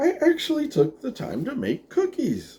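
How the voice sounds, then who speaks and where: A man puts on a character voice with an extremely high pitch, speaking at a moderate pace. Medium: read story. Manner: sly, sardonic.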